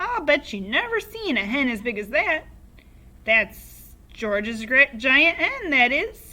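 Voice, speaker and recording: In a put-on character voice, a woman shouts and cackles at a high pitch, her raised, projected voice making very wide pitch swings at a fairly slow pace. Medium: read story. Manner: cackling, shouting.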